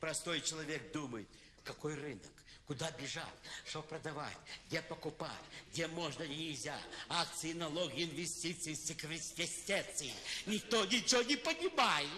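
A man talks at a fairly slow pace with ordinary pitch variation. Long, frequent pauses break up his speech over light background noise. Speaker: comic performer. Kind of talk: satirical stage monologue. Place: stage.

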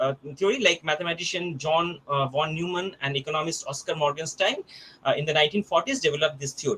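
A man speaks in a normal speaking voice at a fairly quick pace with ordinary pitch variation, light noise in the background. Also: fairly high pitch for a man. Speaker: college teacher. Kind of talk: presentation. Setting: video call. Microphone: video call.

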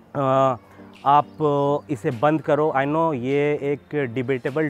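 A man's monotone, flat delivery, dry with no echo, over faint music in the background. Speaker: fitness vlogger. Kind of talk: fitness advice talk to camera. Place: open country.

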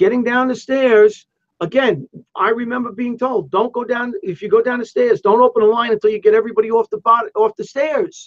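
A man talks at a fairly quick pace with an extremely high pitch and fairly even intonation. The sound is dry and close, with no echo.

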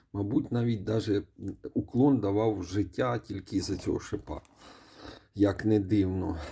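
A man talks fairly slowly and fairly low in a dark, mellow, somewhat breathy tone, leaving long, frequent pauses. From Ukraine. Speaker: mobile game reviewer. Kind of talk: gaming commentary. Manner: casual, with filler hesitations.

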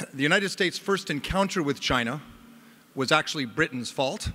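The man's tone comes across as bright and sharp. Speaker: conference host introducing a speaker. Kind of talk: formal introduction speech. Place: hall. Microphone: podium.

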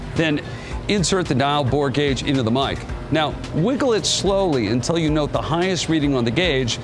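A man at a moderate pace with ordinary pitch variation and very even loudness, clear music playing in the background. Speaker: TV show host. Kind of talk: tutorial. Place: garage. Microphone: lapel.

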